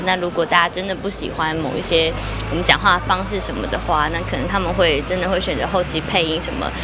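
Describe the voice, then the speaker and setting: Noticeable background noise accompanies a woman speaking at a fairly quick pace. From Taiwan. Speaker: actress. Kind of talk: interview answer. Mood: cheerful, playful. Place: shop. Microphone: handheld.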